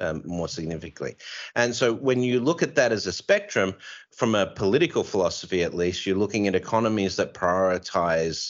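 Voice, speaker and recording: With an Australian accent, a man with a fairly low pitch talks at a fairly quick pace using lively intonation. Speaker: podcast host and author, here as guest. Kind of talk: casual interview discussion.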